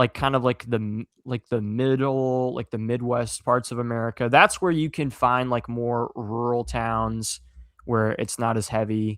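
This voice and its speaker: A man with a slight Southern US accent talks with fairly even intonation. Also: medium pitch for a man, fairly slow pace, dry, close sound with no echo. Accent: slight Southern twang at times. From US Southwest. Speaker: content creator. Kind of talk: casual interview chat.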